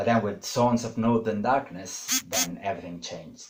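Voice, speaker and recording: This somewhat breathy voice speaks with a non-native accent. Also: man. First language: not English. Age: 30s. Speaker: YouTuber. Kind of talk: casual monologue. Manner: hesitant, many fillers.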